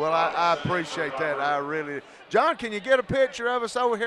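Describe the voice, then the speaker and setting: Noticeable background noise sits behind a man with an American accent. He talks at a fairly quick pace. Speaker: play-by-play broadcaster. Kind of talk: live sports commentary with interview. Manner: emotional, screaming during plays.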